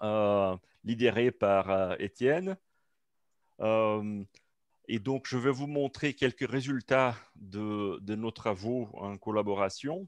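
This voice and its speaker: A man with a non-native accent talks very slowly at a medium pitch, with ordinary pitch variation and long, frequent pauses, in a dry, close recording with no echo and a quiet background. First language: not French (speaking French). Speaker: researcher presenting at a seminar. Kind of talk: academic seminar talk. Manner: halting, many hesitations.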